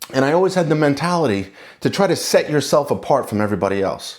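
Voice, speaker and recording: A man talks at a very fast clip. His pitch swings very widely. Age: 40s. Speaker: construction lawyer and general contractor. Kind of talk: casual personal talk to camera. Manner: halting, with fillers and repeats.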